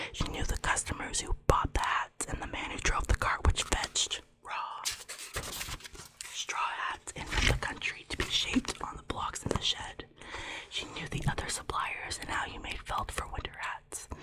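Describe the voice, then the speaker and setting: Whispering at a moderate pace, a woman shifts widely in loudness over noticeable background noise. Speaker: ASMR creator. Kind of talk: ASMR whisper reading of a novel to help sleep. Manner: whispered.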